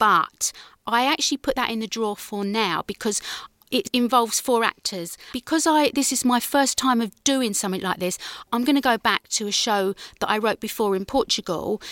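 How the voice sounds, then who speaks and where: With a southern English accent and a fairly high pitch, a woman talks fairly quickly with ordinary pitch variation, her sound dry and close with no echo in a very clean recording with a silent background. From southern England, Guildford, Surrey. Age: 50s. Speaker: actress and playwright. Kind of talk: radio interview.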